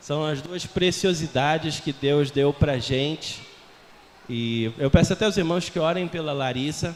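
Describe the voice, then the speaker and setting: This man's voice sits at a fairly high pitch. It rises and falls with ordinary pitch variation. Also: fairly slow pace. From Portugal. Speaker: missionary. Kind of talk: sermon. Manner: conversational.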